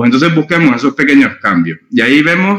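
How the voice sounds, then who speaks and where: Vocal fry marks this man's speech, and his pitch swings very widely. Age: 40s. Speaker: innovation and strategy consultant. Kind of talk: interview.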